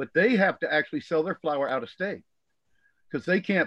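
Fairly quick speech in a Southern US accent. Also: man. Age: 60s. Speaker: cannabis grower and blogger. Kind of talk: casual chat. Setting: video call.

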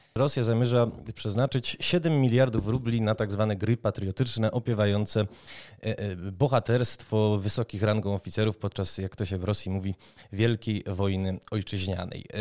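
Recorded very cleanly against a silent background with a dry, close sound and no echo, a man with a plain, everyday voice speaks at a moderate pace, fairly low in pitch, his intonation fairly even. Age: 30s. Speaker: podcast host, games journalist. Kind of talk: interview.

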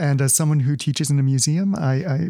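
A fairly high-pitched, somewhat breathy man's voice with a dark, mellow tone and a Canadian accent, in a dry, close sound with no echo. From Winnipeg, Canada. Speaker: podcast host. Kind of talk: interview conversation.

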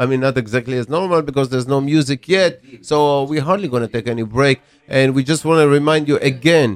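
This man talks at a fairly quick pace with hardly any pauses, using an ordinary speaking voice and ordinary pitch variation. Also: fairly high pitch for a man. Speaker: radio host. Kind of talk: casual chat. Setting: studio.

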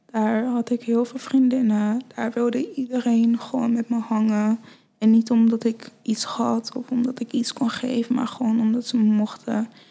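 Against noticeable background noise, a woman with a fairly high voice speaks in a flat monotone. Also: moderate pace. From Nigeria, then Friesland from age eight. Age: 20s. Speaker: fashion model. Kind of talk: casual chat.

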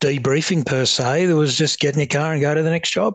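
With a strong Australian accent, the speaker talks at a fairly quick pace with fairly even intonation. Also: man. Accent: broad Australian. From Australia, rural Victoria (Upper Murray). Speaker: retired police officer, peer support founder. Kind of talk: interview.

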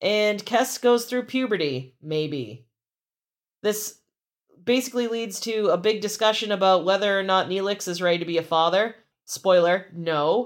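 A woman speaks in an unremarkable speaking voice at a moderate pace. Her medium pitch varies in an ordinary way on a very clean recording with a silent background. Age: 30s. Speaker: podcast host. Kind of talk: casual chat.

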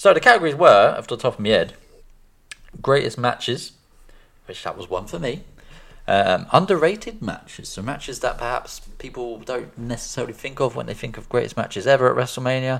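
Speaking at a fairly quick pace, a man with an unremarkable speaking voice uses lively intonation at a medium pitch, his loudness swinging widely. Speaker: podcast host. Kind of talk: casual chat.

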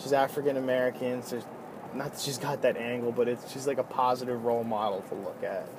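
This man talks at a very fast pace. His intonation is flat and monotone, with noticeable background noise behind him. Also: medium pitch for a man. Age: 20s. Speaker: podcaster and band musician. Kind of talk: casual monologue. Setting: in a car. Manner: casual, filler-heavy.

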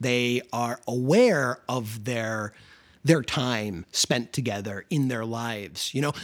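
In an animated tone, a man with an American accent talks at a fairly slow pace in a very clean recording with a silent background. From Chicago suburbs, US Midwest. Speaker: film podcast co-host. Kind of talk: casual chat.

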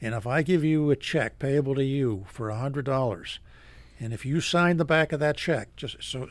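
A man with an American accent and a plain, everyday voice, fairly high in pitch, with ordinary pitch variation and a moderate pace. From Philadelphia, then Maine. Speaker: foreclosure defense lawyer. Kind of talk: radio interview.

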